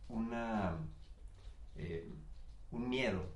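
There is audible room echo in this recording. The man's intonation is lively. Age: 50s. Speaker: podcast guest. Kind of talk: casual chat. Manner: halting.

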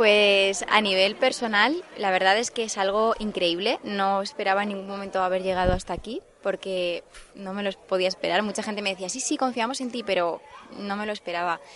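A woman speaks in a plain, everyday voice at a fairly quick pace. Her pitch is medium and her intonation fairly even. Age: 20s. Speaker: festival queen candidate. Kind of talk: interview. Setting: outdoors in gardens.

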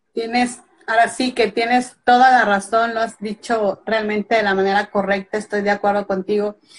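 Keeping a monotone, flat intonation, a woman speaks at a moderate pace in a fairly high pitch. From Mexico (Veracruz). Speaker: author. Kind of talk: casual interview.

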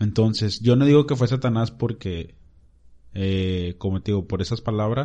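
With a quiet background, a man of fairly low pitch and a dark, mellow tone talks at a moderate pace with ordinary pitch variation. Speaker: church youth podcast host. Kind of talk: casual chat. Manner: stutters at times.

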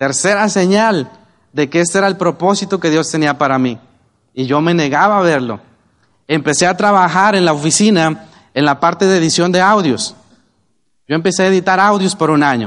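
Holding a very even loudness, a man with a high pitch uses ordinary pitch variation and takes long, frequent pauses. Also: moderate pace. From Mexico, Oaxaca. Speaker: network marketing business leader. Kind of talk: motivational talk.

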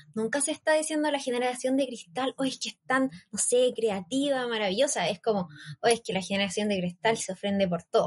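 In a Chilean accent, a woman talks at a fairly quick pace with high pitch and lively intonation, the sound dry and close with no echo. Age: 20s. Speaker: youth project team member. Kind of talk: casual panel chat on a live stream. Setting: live stream.

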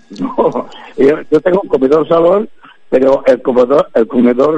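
A man's voice at a fairly slow pace, with ordinary pitch variation and noticeable background noise. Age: 70s. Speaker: music therapist. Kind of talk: casual chat.

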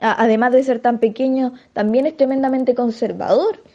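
A woman with a high voice speaks at a moderate pace. Her tone is dark and mellow. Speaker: feminist activist spokesperson. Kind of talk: recorded statement. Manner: halting.

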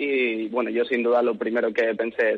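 The pace here is moderate. A man speaks with fairly even intonation. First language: English (speaking Spanish). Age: 20s. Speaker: hairdresser and stylist. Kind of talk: interview.

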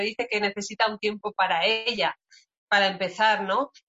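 Music plays in the background as a woman speaks. Her pitch is fairly high and her pace moderate. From Spain, Segovia. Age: 40s. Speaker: forestry engineer and entrepreneur. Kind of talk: casual interview.

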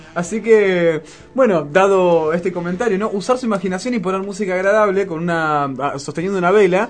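Fairly quick in pace, a man talks in a high pitch with ordinary pitch variation. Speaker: radio host. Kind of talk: casual radio chat.

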